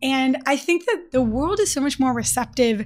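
Pitch shifts in an ordinary way as the voice keeps a moderate pace. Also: woman. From US Midwest, Detroit. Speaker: startup founder and CEO. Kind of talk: interview. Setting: on-site at company office. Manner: animated; casual, filler-heavy.

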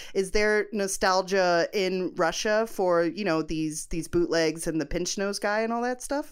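Delivered at a fairly slow pace with hardly any pauses, a normal speaking voice carries lively intonation. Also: woman, medium pitch for a woman. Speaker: film critic, podcast host. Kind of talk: casual chat.

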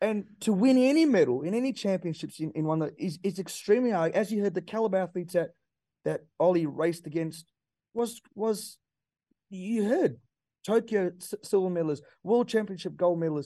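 An Australian accent marks this man's high-pitched voice, which has a dark, mellow tone, lively intonation and a fairly quick pace. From Australia, Perth. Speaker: former Olympic sprinter, athletics pundit. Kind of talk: casual radio sports chat.

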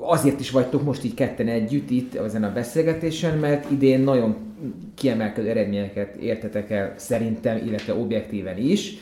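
A man at a moderate pace, medium in pitch, with ordinary pitch variation and noticeable background noise. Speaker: podcast host. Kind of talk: interview.

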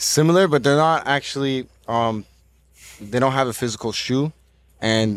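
On a very clean recording with a silent background, a man speaks in a plain, everyday voice at a moderate pace with ordinary pitch variation. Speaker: business partner in sneaker project. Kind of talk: promotional pitch.

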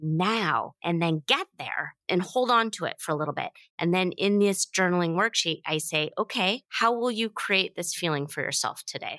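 A woman speaks in a plain, everyday voice at a moderate pace, her pitch fairly low. The sound is dry and close, with no echo. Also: very clean recording, silent background. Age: 50s. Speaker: author and podcast host. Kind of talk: interview conversation.

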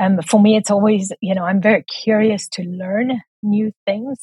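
This woman speaks at a medium pitch and a moderate pace, keeping her intonation fairly even. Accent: South African. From South Africa. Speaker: book coach and editor. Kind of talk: casual interview chat.

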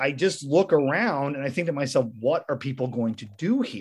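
A man with an American accent at a moderate pace, over a quiet background. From rural Missouri. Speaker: podcast host. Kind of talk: casual interview.

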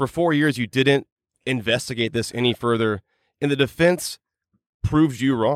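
Pausing long and often, a man of medium pitch talks at a moderate pace with ordinary pitch variation. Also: dry, close sound with no echo. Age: 30s. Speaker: podcast host and true crime investigator. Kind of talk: casual chat.

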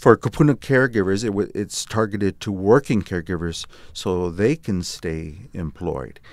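A man with an ordinary speaking voice, fairly low pitch, lively intonation and a moderate pace. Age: 50s. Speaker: nonprofit volunteer leader, healthcare director. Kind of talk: interview.

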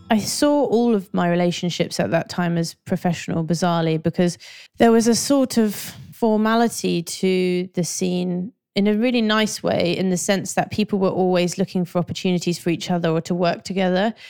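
Recorded very cleanly against a silent background, a woman with a London accent speaks at a fairly quick pace in a dark, mellow tone with very even loudness. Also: medium pitch for a woman, ordinary pitch variation. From North London. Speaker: graphic designer and art director. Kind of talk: interview.

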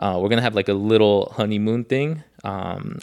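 Fairly low-pitched man with an American accent. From Los Angeles, Koreatown. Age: 30s. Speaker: board game creator. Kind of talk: casual chat.

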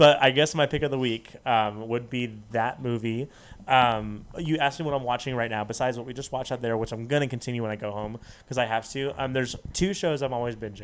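Very fast speech from a man with an American accent at a medium pitch. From Las Vegas, US. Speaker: podcast guest. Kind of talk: casual chat. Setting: studio. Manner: animated, laughing often.

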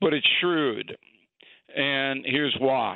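A man with an unremarkable speaking voice, fairly even intonation, and a fairly slow pace. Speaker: political commentator. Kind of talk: casual chat.

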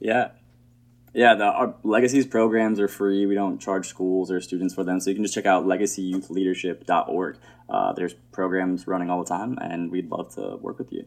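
A man speaks at a moderate pace in a fairly low pitch with fairly even intonation. It is an ordinary speaking voice. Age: 30s. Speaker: nonprofit founder. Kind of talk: casual interview chat.

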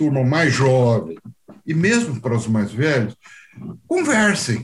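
A somewhat breathy man at a fairly slow pace. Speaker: medical auditor, former orthopedic surgeon. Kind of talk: interview.

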